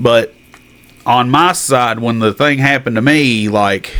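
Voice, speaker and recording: Speaking at a fairly slow pace, a man uses a medium pitch with ordinary pitch variation. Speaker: podcast co-host, brain hemorrhage survivor. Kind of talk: casual chat. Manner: halting, searches for words.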